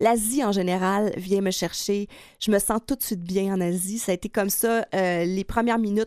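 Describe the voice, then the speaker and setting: In a very clean recording with a silent background, a woman uses a normal speaking voice at medium pitch with ordinary pitch variation, the sound dry and close with no echo. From Quebec, Lac-Saint-Jean. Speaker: travel writer. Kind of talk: interview.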